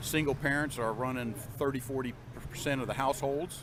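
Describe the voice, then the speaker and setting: A man's medium-pitched voice at a fairly quick pace, over noticeable background noise. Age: 60s. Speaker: gun rights supporter at a convention. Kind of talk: street interview.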